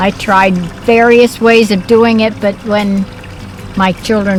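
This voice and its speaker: A woman talks. There is music in the background. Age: 80s+. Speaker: turtle owner. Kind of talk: interview.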